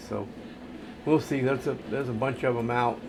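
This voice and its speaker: A man speaks in a flat monotone, with audible echo in the room. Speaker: gaming streamer. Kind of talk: gameplay commentary.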